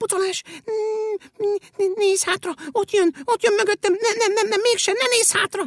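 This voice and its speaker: A squeaky, put-on character voice is pitched extremely high. Long pauses come often. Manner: terrified, squeaking.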